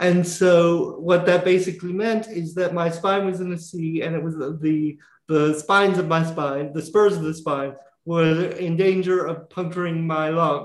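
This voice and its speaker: Speaking with an American accent, a man with a high voice talks in a monotone, flat way at a fairly slow pace. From US South. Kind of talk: casual interview.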